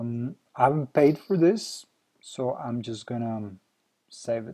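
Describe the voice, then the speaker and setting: Speaking with a non-native accent, a man uses a medium pitch, a dark, mellow tone, a fairly slow pace, ordinary pitch variation and big swings in loudness. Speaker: software company founder. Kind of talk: software tutorial. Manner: hesitant, many fillers.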